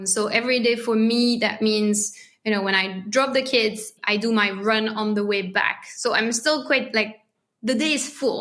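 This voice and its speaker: In a French accent, a woman speaks at a moderate pace in a fairly high pitch, keeping fairly even intonation and very even loudness. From France. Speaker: marketing lead at a family travel company. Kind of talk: podcast interview.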